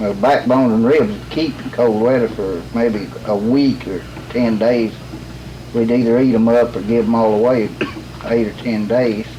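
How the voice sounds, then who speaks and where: A man speaks at a moderate pace and medium pitch in a Southern Appalachian accent. His intonation is fairly even, with noticeable background noise behind him. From Western North Carolina. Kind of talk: interview answer.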